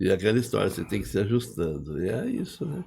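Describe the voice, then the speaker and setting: Recorded very cleanly against a silent background, a man speaks at a fairly low pitch with vocal fry. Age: 60s. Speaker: engineer and business owner. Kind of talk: podcast interview. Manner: casual, conversational.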